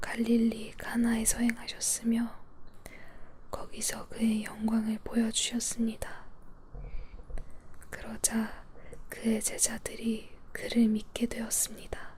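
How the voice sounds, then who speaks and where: Whispering in a gentle, soothing tone, a woman speaks at a very slow pace with long, frequent pauses over noticeable background noise. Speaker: Bible reader. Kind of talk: Bible reading for sleep (ASMR). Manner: soft, gentle, soothing.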